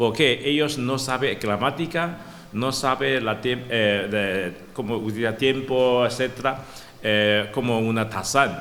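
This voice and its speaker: The speech comes at a very slow pace with ordinary pitch variation, amid noticeable background noise and audible room echo. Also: man, medium pitch for a man. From Taiwan. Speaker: professor. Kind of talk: academic talk. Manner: halting, stuttering restarts.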